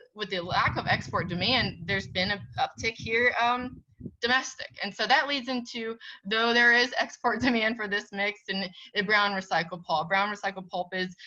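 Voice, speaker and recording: Her pitch is medium, and this woman shows ordinary pitch variation. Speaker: commodity price reporter and editor. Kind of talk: webinar presentation. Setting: webinar. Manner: fast; animated.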